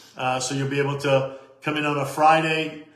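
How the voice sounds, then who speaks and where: Noticeable background noise and audible room echo around a fairly high-pitched male voice. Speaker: network marketing leader. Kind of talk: live stream team call. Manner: loud; animated.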